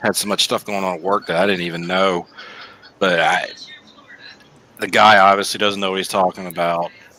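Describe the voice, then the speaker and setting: A man with a very deep, low pitch speaks at a fairly quick pace in a flat monotone, with long, frequent pauses. Noticeable background noise runs underneath. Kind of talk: casual chat. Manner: loud.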